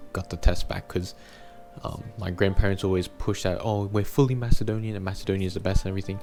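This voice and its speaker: Over background music, a man with an Australian accent speaks in a very deep, low voice with fairly even intonation. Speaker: YouTuber. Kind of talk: personal vlog monologue.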